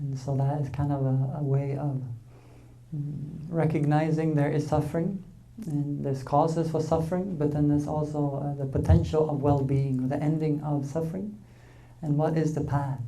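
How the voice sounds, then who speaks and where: The speaker talks at a moderate pace in a Swedish accent. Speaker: Buddhist dharma teacher. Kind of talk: dharma talk.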